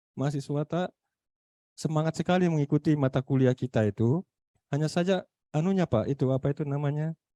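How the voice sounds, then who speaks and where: Speaking at a moderate pace with a Makassar accent, a man has a fairly high pitch, a dark, mellow tone, ordinary pitch variation, and a dry, close sound with no echo. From Makassar, South Sulawesi. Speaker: university lecturer. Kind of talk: online meeting discussion. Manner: halting, many fillers.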